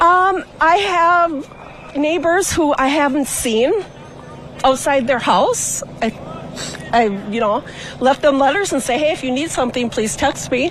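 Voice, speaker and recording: A woman's high-pitched voice with lively intonation at a fairly slow pace, broken by long, frequent pauses over noticeable background noise. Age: 50s. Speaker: local resident at a protest. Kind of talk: street interview. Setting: outdoors at night.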